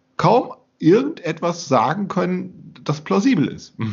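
This is a man speaking. His voice has vocal fry. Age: 50s. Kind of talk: casual discussion.

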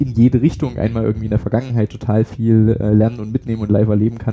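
A man at a fairly low pitch, very fast and monotone with flat intonation, over noticeable background noise. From Saxony, eastern Germany (Pirna area). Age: 20s. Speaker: young politician and parliamentary candidate. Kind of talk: interview.

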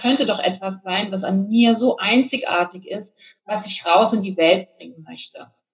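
This woman has a normal speaking voice, talking at a moderate pace with a medium pitch and ordinary pitch variation. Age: 40s. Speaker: business coach. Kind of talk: interview.

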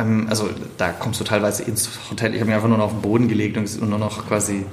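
Over noticeable background noise and audible room echo, a man with a fairly low pitch talks very fast with a slight Swabian accent. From Swabia, Stuttgart (southwest Germany). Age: 30s. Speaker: keynote speaker. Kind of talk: casual interview. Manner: sing-song lilt.

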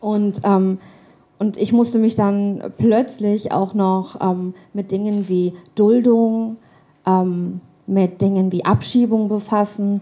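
Here a woman talks at a medium pitch with a dark, mellow tone. Her delivery is monotone and flat, at a very slow pace. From Germany. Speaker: writer. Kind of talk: storytelling performance.

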